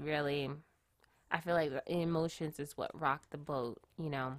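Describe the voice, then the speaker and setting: The recording is very clean with total background silence as a woman talks, her pitch varying in an ordinary way. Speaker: tarot reader. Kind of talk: tarot reading. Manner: slow; halting.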